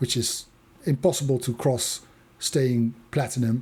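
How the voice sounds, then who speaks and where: The speaker is a man with a Dutch accent. His voice is somewhat breathy, with a dark, mellow tone. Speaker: YouTuber. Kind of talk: map walkthrough commentary. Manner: hesitant, many fillers.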